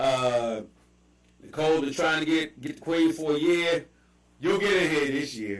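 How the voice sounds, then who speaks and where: A man with a Baltimore accent speaks at a fairly high pitch and moderate pace. His pitch varies in an ordinary way, with long, frequent pauses. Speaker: livestream host. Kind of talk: casual chat. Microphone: bad audio.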